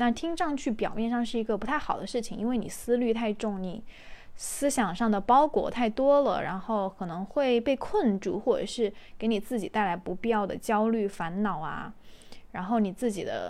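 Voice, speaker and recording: This woman has a fairly high pitch, a moderate pace, ordinary pitch variation and an unremarkable speaking voice, recorded very cleanly against a silent background. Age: 20s. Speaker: podcast host. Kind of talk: casual solo monologue. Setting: recording at home while cooking.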